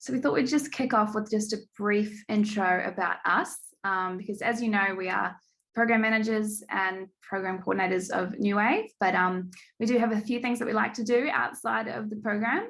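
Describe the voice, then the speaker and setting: A woman's fairly high-pitched voice with a slight New Zealand accent, ordinary pitch variation and a moderate pace. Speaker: program manager. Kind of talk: online event hosting.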